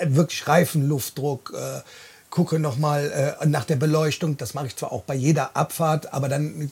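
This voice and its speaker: A man with a fairly high voice speaks at a fairly slow pace. His delivery is somewhat breathy. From Bonn, Rhineland. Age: 40s. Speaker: podcast host, truck driver. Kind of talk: casual chat. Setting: in a caravan.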